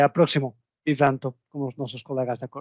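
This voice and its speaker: In a non-native accent, a man talks at a moderate pace with a dry, close sound and no echo. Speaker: software vendor representative. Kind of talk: webinar closing remarks. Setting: online webinar. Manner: halting, repeats words.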